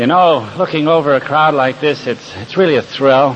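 Lively intonation at a fairly quick pace, with noticeable background noise. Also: man. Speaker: recovery speaker. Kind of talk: speaker talk to a meeting. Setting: stage with audience.

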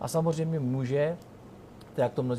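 Talking at a fairly quick pace with ordinary pitch variation, a man has a plain, everyday voice. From Ostrava, Czech Republic. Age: 40s. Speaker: regional politician. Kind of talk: interview. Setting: restaurant in a tower.

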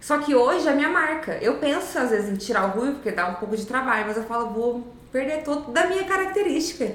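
The speech runs at a very fast pace with hardly any pauses and very wide pitch swings. Noticeable background noise and audible room echo are present. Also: woman, high pitch for a woman. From Brazil, São José dos Campos region (São Paulo state). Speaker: social media agency owner and content creator. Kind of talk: casual interview chat.

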